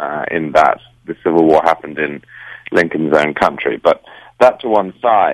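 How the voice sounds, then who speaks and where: A man speaks with a British accent. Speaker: political writer. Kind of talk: political commentary interview. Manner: formal, articulate.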